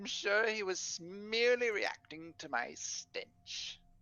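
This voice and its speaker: Over music in the background, a man uses a high, put-on character voice at a fairly slow pace. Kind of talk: archaic formal speech. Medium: actual play. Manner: cryptic, stately.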